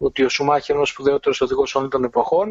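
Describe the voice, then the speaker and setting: A normal speaking voice from a man, its pitch fairly high, the variation in pitch ordinary. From Greece. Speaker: Formula 1 journalist. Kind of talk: casual chat.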